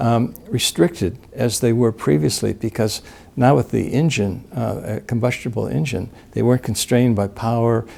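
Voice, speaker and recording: With vocal fry and a dark, mellow tone, the speaker moves at a moderate pace with ordinary pitch variation. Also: man, medium pitch for a man. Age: 60s. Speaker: gold company director, interviewee. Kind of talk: interview. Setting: in-person sit-down interview in New Orleans.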